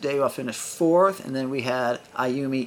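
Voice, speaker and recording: Noticeable background noise accompanies a man's medium-pitched voice. His pitch varies in an ordinary way. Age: 50s. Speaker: multi-sport athlete and yoga coach. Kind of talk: interview.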